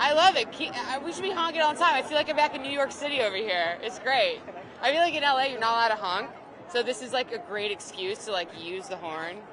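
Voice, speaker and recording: Amid crowd noise in the background, a woman with a high pitch talks at a very fast pace with very wide pitch swings. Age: 30s. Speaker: actor. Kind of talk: street interview.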